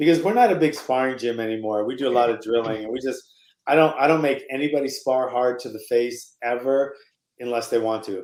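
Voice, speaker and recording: This man has a normal speaking voice at medium pitch. He talks at a fairly quick pace with ordinary pitch variation. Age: 60s. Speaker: martial arts coach. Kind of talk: casual chat.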